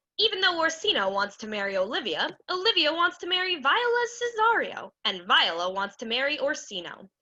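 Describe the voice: A put-on character voice with big swings in pitch, a bright, sharp tone and a fairly quick pace. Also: woman, high pitch for a woman.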